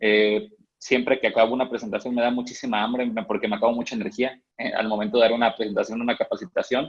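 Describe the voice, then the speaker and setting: A man speaks very fast at a medium pitch. His intonation stays fairly even. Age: 20s. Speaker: network marketing distributor. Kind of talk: training talk.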